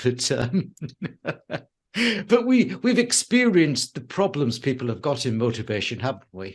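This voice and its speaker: A man's medium-pitched, somewhat breathy voice at a fairly slow pace, with very wide pitch swings. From England. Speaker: show host. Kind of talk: talk show conversation.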